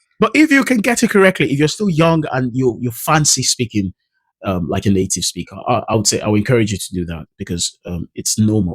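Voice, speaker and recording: A man's somewhat breathy, medium-pitched voice at a fairly quick pace, with a dry, close sound and no echo. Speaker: English pronunciation coach. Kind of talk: tutorial. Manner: hesitant, with fillers.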